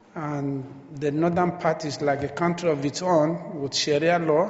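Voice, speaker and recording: A man's fairly high voice with a Nigerian accent, fairly slow and monotone with flat intonation, amid noticeable background noise and audible room echo. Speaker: missionary preacher. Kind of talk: sermon. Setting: church.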